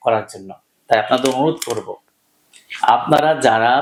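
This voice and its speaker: A man speaks with lively intonation. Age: 40s. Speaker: homeopathic doctor. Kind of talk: direct-to-camera appeal. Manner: emphatic.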